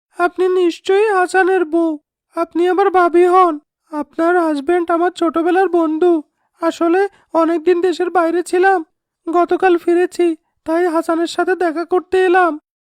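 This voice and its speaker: Using a cartoonish character voice, a woman talks at an extremely high pitch with monotone, flat intonation at a moderate pace. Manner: polite.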